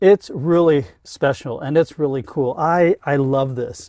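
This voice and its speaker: Against a quiet background, a man with a dark, mellow tone talks with ordinary pitch variation in a dry sound with no echo. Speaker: van reviewer. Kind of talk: product walkthrough. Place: car. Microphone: camera far.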